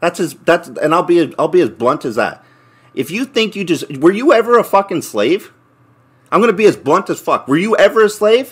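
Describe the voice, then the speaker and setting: A man shouts loudly in a high, furious voice with lively intonation over a quiet background. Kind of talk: angry rant. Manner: loud, furious, blunt, profanity-laden; rapid-fire, emphatic repetition. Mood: angry. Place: home room. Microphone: camera far.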